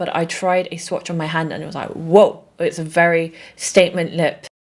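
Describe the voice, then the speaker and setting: Speaking in a British accent, the woman has a fairly low voice with monotone, flat intonation and big swings in loudness. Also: moderate pace. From England. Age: 30s. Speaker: beauty content creator. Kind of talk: casual talk to camera.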